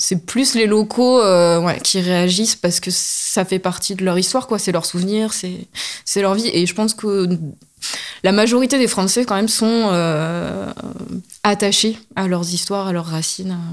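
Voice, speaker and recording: A woman's normal speaking voice, fairly even in intonation and fairly slow in pace. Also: very clean recording, silent background. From Corrèze, France. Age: 30s. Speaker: heritage guide. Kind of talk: interview.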